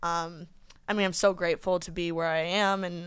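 This woman has a Midwestern American accent. She speaks at a medium pitch. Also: very clean recording, silent background. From Indiana. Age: 20s. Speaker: podcaster. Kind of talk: casual chat.

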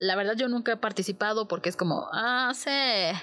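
A woman speaks with a Mexican accent. Her pitch is fairly high and varies in an ordinary way. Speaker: book podcast host. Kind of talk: casual monologue.

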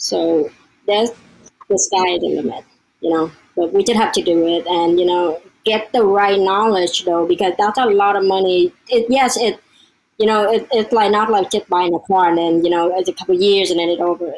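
A woman with a Vietnamese accent speaks at a moderate pace, her intonation fairly even and her loudness very even. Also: medium pitch for a woman. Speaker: real estate investor and academy member. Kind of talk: casual interview.

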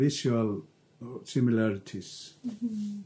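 A man with an Icelandic accent talks at a very slow pace and a medium pitch. His tone is dark and mellow, and somewhat breathy. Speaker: artist. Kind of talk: interview. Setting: artist's studio. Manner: halting.

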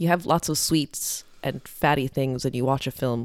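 A woman with an Irish accent and a very deep, low pitch, fairly even intonation at a moderate pace, on a very clean recording with a silent background. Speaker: podcast co-host, restaurant worker. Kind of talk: casual chat.

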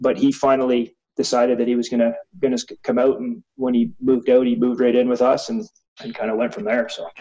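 Here a man with a Canadian accent speaks in a dark, mellow tone at medium pitch. He talks at a fairly quick pace with ordinary pitch variation. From small-town Ontario, Canada. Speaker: former rugby sevens captain. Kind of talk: casual interview.

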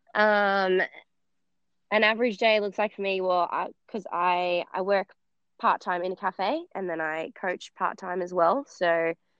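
A woman speaks with an Australian accent at a fairly slow pace. Her intonation stays fairly even. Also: medium pitch for a woman. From Australia, base of the Blue Mountains (NSW). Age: 20s. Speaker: CrossFit athlete. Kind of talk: interview.

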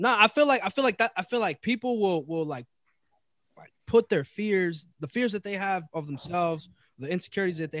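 A man speaks at a high pitch and a fairly quick pace, in an animated tone with lively intonation and big swings in loudness. The sound is dry and close with no echo. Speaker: podcast host. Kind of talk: casual chat. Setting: recording in a room on camera.

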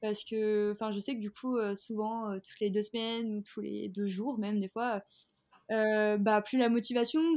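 A woman at a fairly high pitch and a fairly slow pace, with fairly even intonation, in a plain, everyday voice. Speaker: fashion entrepreneur. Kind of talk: interview.

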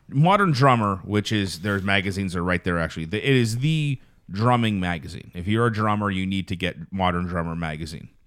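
A man with a plain, everyday voice, fairly low pitch, ordinary pitch variation and fairly quick pace in a very clean recording with a silent background. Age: 30s. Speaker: podcast host, car salesman. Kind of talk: casual chat.

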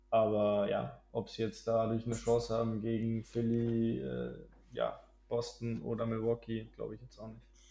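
A man at a moderate pace with big swings in loudness. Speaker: basketball podcast co-host. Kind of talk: casual chat. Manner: halting, frequent fillers.

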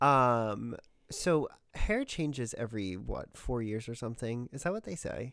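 The tone is animated and the pace fairly slow, in a very clean recording with a silent background. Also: man. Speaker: podcast host. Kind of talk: casual chat. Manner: animated, joking.

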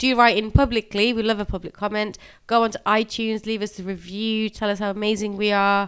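A woman with an English accent talks at a fairly quick pace in a fairly high pitch. Her intonation is monotone and flat, on a very clean recording with a silent background. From England. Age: 40s. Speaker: podcast co-host. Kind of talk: casual chat.

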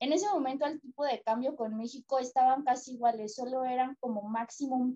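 A high-pitched woman with a Mexican accent, at a moderate pace, with fairly even intonation and a dry, close sound with no echo. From Mexico. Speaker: travel agency worker, tourism graduate. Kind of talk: casual interview chat.

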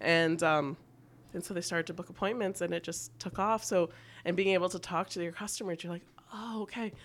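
In a very clean recording with a silent background, a woman with a Canadian accent uses a normal speaking voice at a fairly low pitch with ordinary pitch variation. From Canada, Toronto. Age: 30s. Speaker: fashion blogger and plus-size store founder. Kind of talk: casual interview chat.

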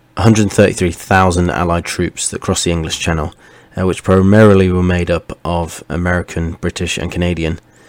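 Quiet and monotone, a man talks at a moderate pace in a very deep, low pitch with flat intonation. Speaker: podcast host. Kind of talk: history talk. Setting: at home late at night.

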